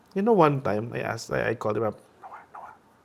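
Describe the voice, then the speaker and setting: A man talks at a very fast pace with vocal fry. His pitch swings very widely. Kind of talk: podcast interview. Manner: code-switching Tagalog and English.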